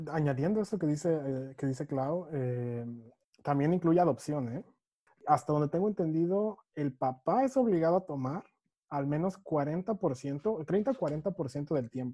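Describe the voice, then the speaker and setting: At a fairly slow pace, a man with a dark, mellow tone and fairly high pitch talks with ordinary pitch variation. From Mexico City. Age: 20s. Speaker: sustainability specialist. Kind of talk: interview.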